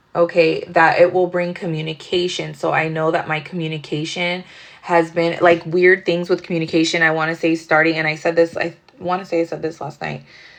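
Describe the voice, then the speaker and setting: Speaking at a fairly quick pace, a woman keeps a fairly low pitch with monotone, flat intonation. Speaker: tarot reader. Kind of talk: casual tarot reading monologue. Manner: fast; casual, rambling with fillers.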